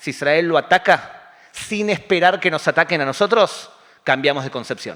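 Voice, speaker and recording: A man speaks in an ordinary speaking voice at a moderate pace. His pitch is fairly high and his intonation lively. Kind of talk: public talk with audience questions. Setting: community center with live audience.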